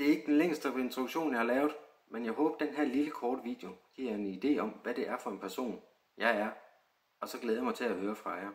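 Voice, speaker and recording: Using ordinary pitch variation at a medium pitch, a man speaks at a fairly quick pace but leaves long, frequent pauses. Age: 30s. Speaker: extra actor applicant. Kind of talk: self-introduction video.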